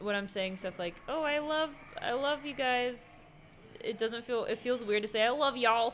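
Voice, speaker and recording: Over light background noise, a woman with a high pitch talks in an animated tone at a moderate pace, with ordinary pitch variation. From not Texas. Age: 20s. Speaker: streamer and host; streamer, host. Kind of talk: casual gameplay livestream chat. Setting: livestream. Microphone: studio mic.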